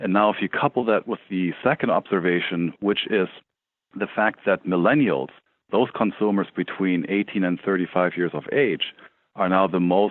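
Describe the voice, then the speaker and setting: The speaker, with a German accent, goes at a moderate pace with ordinary pitch variation. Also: man. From Germany. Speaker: tech startup CEO. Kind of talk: interview.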